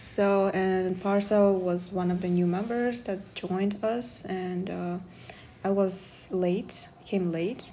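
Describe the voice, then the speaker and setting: A woman's medium-pitched voice, very slow and fairly even in intonation, with audible room echo. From Kazakhstan. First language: Kazakh or Russian. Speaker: podcast host, student. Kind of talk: casual chat.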